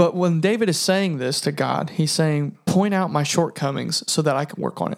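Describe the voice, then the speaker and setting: A man with an American accent and a fairly high voice talks with hardly any pauses and ordinary pitch variation. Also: moderate pace. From US Midwest, southern Indiana. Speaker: podcast co-host. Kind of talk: casual chat.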